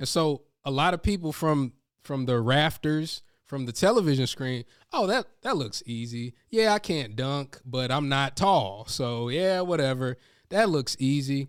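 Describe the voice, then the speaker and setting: A man with a plain, everyday voice speaks at a fairly slow pace, pitched fairly high. His intonation is lively, and the very clean recording has a silent background. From North Carolina. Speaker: professional speaker and speaking coach. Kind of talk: interview.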